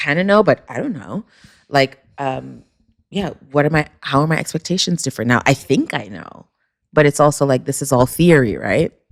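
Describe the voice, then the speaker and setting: A woman with a New York accent speaks very low and deep, with vocal fry and lively intonation. Her pace is moderate, and the sound is dry and close with no echo. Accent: New York American. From Jamaica, then New York from age four. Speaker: author and podcast host. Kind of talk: casual conversation interview. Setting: recorded in person in Paris.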